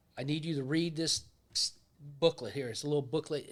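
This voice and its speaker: On a very clean recording with a silent background, a man speaks at a fairly high pitch with a Pittsburgh accent. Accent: Pittsburgh American English. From US Northeast, Pittsburgh. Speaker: retired law enforcement officer. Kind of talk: storytelling in casual interview.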